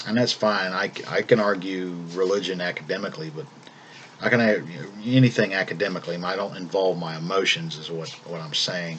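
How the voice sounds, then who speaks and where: Talking at a fairly quick pace over noticeable background noise, a man with a slight Southern US accent has a very deep, low voice with ordinary pitch variation. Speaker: vlogger. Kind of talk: casual monologue vlog. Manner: calm; halting, repeats words.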